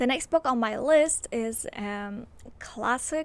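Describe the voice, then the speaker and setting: The speaker talks in a Polish accent with ordinary pitch variation. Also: woman. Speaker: book vlogger. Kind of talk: casual chat. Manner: animated.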